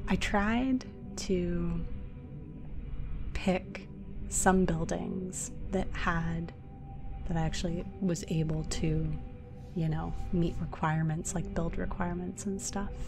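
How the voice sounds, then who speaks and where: Soft-spoken and very slow, a woman talks with long, frequent pauses as music plays in the background. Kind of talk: relaxing game build commentary.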